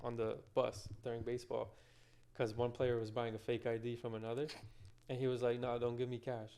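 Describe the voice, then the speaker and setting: Fairly quick and flat in a monotone, a man's medium-pitched voice has a dark, mellow tone. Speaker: podcast co-host, interviewer. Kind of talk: casual interview chat. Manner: quiet.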